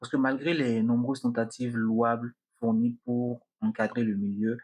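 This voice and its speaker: In a quiet setting, a man speaks at a fairly slow pace and medium pitch, his intonation flat and monotone. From Benin. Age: 20s. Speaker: podcaster. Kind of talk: podcast monologue.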